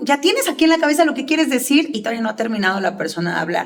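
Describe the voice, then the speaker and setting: High-pitched woman's voice with lively intonation over music in the background. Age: 30s. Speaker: public speaking coach. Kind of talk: interview answers. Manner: fast.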